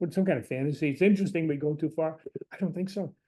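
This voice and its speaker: A man with a New York accent speaks in a dark, mellow tone at a fairly high pitch against a quiet background. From Brooklyn, New York. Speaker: Jungian analyst and lecturer. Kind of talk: lecture. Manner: animated.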